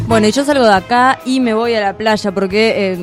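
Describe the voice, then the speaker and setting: A woman's fairly high voice at a moderate pace, fairly even in intonation, with music in the background. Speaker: radio host. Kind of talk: radio host talk.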